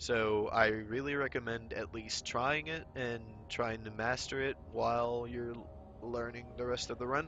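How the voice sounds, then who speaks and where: Over music in the background, a man speaks fairly slowly in a medium pitch with ordinary pitch variation. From Finland. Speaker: speedrunner. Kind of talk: game tutorial commentary. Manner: hesitant, stuttering.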